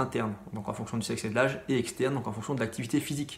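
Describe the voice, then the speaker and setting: Talking at a very fast pace with ordinary pitch variation, a man is heard with audible room echo. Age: 30s. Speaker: middle school science teacher. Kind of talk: lecture. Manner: hesitant, many fillers.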